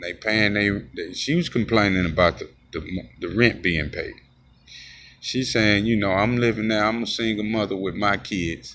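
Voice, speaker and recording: A loud man's voice, fairly low in pitch with ordinary pitch variation and long, frequent pauses. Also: moderate pace. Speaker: street preacher and video blogger. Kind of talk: casual monologue.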